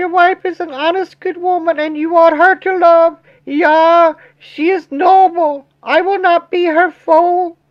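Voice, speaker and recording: In a put-on character voice, the speaker goes at a fairly slow pace with monotone, flat intonation. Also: woman, extremely high pitch for a woman. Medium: read story. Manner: prim, suspicious, moralizing.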